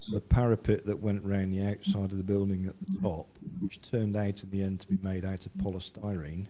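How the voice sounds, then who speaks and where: Soft-spoken, a man with a fairly low pitch and a dark, mellow tone speaks fairly quickly in a flat monotone, his loudness swinging widely. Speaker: council staff presenting a report. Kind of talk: council meeting report presentation.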